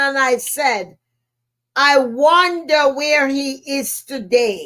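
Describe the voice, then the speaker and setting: A woman's raised, projected voice, high in pitch with a bright, sharp tone, in a Jamaican accent, with ordinary pitch variation and a very slow pace. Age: 70s. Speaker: motivational speaker and podcast host. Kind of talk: podcast monologue, personal storytelling. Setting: live stream.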